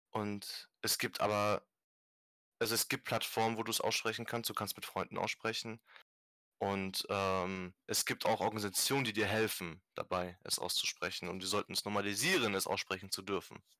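A man with a fairly low pitch and a bright, sharp tone talks at a moderate pace with fairly even intonation. The very clean recording is dry and close with no echo and a silent background. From Germany, Stuttgart area. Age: 20s. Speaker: podcast host, activist. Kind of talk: casual chat.

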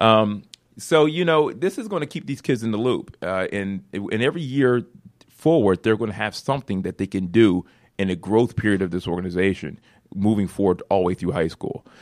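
An unremarkable speaking voice with an American accent, it moves at a fairly quick pace with lively intonation over a quiet background. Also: man, fairly low pitch for a man. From Philadelphia. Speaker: nonprofit founder and CEO. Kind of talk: radio interview. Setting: studio.

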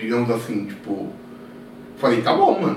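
Moving at a moderate pace, a man is heard through audible room echo and noticeable background noise. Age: 30s. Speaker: market data analyst. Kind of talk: casual chat.

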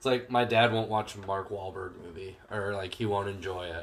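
Somewhat breathy and fairly low in pitch, a man talks at a fairly slow pace with fairly even intonation. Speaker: podcast co-host. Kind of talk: casual chat. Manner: profane, casual.

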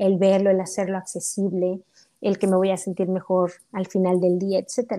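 A woman speaks at a fairly slow pace in a dark, mellow tone. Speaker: accountant and mother. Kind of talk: casual interview. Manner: animated.

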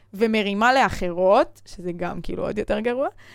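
A woman at a moderate pace, her pitch fairly high. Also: very clean recording, silent background. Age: 20s. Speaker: podcast host, former gymnast. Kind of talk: casual chat.

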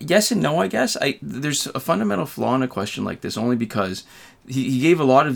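Speaking at a fairly quick pace with lively intonation, a man with a Canadian accent shows vocal fry. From Canada. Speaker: gaming YouTuber. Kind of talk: casual chat.

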